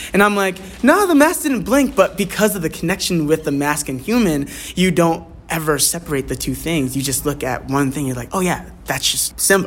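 There is noticeable background noise in this clip. A man talks at a fairly quick pace with a high pitch. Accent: American. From Bucks County, Pennsylvania. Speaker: stage actor. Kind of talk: radio interview.

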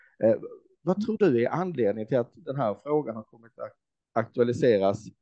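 A man's normal speaking voice, medium in pitch and moderate in pace with lively intonation, in a dry, close sound with no echo. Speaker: podcast host. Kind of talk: interview. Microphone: faulty microphone, poor sound quality.

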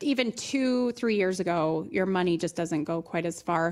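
A woman with an American accent and an unremarkable speaking voice, lively intonation and a fairly slow pace. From Ohio, Toledo. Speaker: mortgage branch manager. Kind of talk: interview.

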